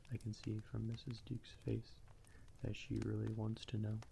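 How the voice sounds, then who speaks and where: A soft-spoken man is talking. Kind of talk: ASMR audiobook reading. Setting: crackling fire in the background. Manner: quiet, soft.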